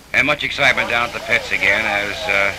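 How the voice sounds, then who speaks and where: A man speaks with noticeable background noise. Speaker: newsreel narrator. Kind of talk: 1950s sports newsreel commentary. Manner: brisk, clipped, upbeat announcer delivery; excited, emphatic, rattling off car and driver names.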